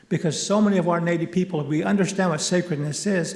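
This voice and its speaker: Amid noticeable background noise and audible room echo, a man talks at a high pitch with ordinary pitch variation. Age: 60s. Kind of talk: conference keynote talk. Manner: animated.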